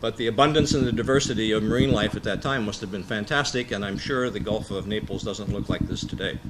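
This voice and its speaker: A man with an American accent talks at a fairly quick pace and medium pitch, with ordinary pitch variation. Noticeable background noise and audible room echo are present. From United States. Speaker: marine policy expert, conference speaker. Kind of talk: conference presentation. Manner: loud; hesitant, many filler words.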